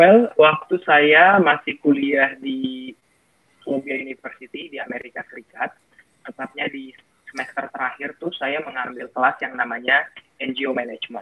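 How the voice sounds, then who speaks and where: At a moderate pace, a man with an unremarkable speaking voice talks at fairly high pitch, with ordinary pitch variation and big swings in loudness. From North Sumatra, Indonesia (Batak area, Sidikalang). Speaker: foundation founder, scholarship alumnus. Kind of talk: talk show interview. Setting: virtual event, online talk show.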